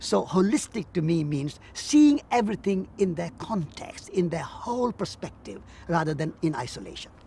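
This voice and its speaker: High-pitched for a man, this voice moves at a moderate pace with hardly any pauses and very wide pitch swings. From India. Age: 70s. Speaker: peace activist and author. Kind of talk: interview.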